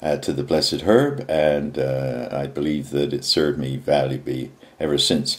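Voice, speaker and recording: Speaking at a moderate pace, the man has a very deep, low pitch, vocal fry and lively intonation. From England. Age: 70s. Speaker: activist. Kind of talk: video message monologue. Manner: halting, many fillers.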